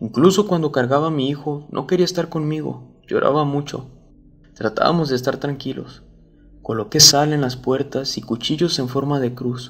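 A man's fairly high voice shows ordinary pitch variation. He keeps a moderate pace, with music in the background. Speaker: storyteller reading a viewer-submitted true story. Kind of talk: ghost story telling, first-person horror narration.

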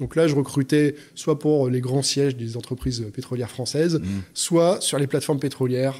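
A man with a normal speaking voice, fairly high pitch, moderate pace and fairly even intonation. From France, Lyon. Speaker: HR director. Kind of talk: interview.

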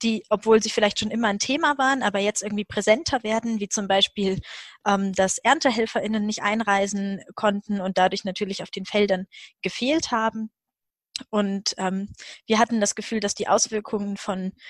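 Here a woman talks at a moderate pace with fairly even intonation. The background is quiet, and the sound is dry with no echo. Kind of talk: webinar introduction. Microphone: video call.

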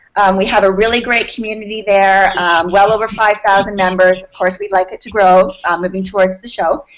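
Her intonation fairly even, the woman keeps a moderate pace. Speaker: guest. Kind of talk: interview answer. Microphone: video call.

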